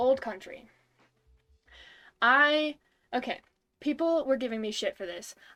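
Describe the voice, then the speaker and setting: A woman speaks in a raised, projected voice at a high pitch. Her tone is bright and sharp, and her intonation lively. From US Northeast. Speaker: music podcast host. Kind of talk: casual chat.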